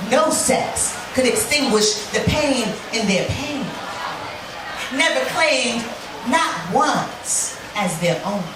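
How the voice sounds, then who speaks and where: A woman with an American accent speaks at a high pitch with lively intonation, very slowly. Her speech has long, frequent pauses over noticeable background noise. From Brooklyn, New York. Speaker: spoken word poet. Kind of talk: live spoken word poetry performance. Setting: bar stage, live audience.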